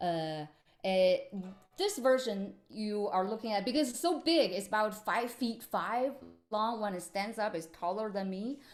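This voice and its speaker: Speaking fairly slowly with lively intonation, a woman with a fairly high-pitched voice has a Chinese accent. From China, Beijing. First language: Mandarin Chinese. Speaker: musician. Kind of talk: workshop presentation. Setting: video call. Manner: halting, many fillers.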